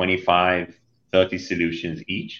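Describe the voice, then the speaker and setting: Over a quiet background, a man speaks with an Israeli accent at a very deep, low pitch. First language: Hebrew. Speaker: cybersecurity company CEO and co-founder. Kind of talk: podcast interview.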